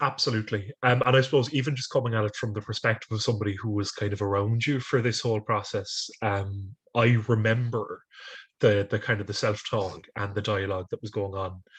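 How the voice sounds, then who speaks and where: A man with an Irish accent speaks at a fairly quick pace with fairly low pitch and fairly even intonation. His voice is somewhat breathy over a quiet background. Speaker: speech and language therapist, interviewer. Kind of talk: interview.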